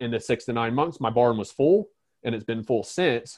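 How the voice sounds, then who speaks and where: A man with an American accent, medium pitch and a fairly quick pace, an unremarkable speaking voice. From North Carolina. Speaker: horse trainer and business owner. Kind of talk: interview.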